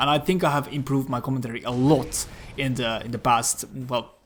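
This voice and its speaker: Over noticeable background noise, the man moves along at a fairly quick pace. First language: not English (self-taught English). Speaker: gaming YouTuber. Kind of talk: casual gameplay commentary. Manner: filler-heavy, frequent 'like' and restarts.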